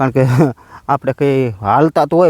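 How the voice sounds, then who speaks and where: A man's plain, everyday voice at medium pitch, with ordinary pitch variation and a dry, close sound with no echo. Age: 40s. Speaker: farmer vlogger. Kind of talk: casual vlog narration.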